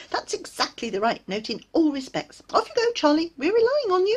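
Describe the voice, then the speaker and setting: In a put-on character voice, a female-sounding voice squeaks at an extremely high pitch for a woman, moving quickly with very wide pitch swings. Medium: read story. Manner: agitated, eager.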